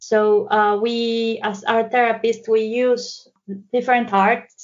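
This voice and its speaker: Very slowly and in a monotone, flat way, a woman with a Mexican accent speaks at a fairly high pitch. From Mexico. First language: Spanish. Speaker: psychotherapist. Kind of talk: interview conversation.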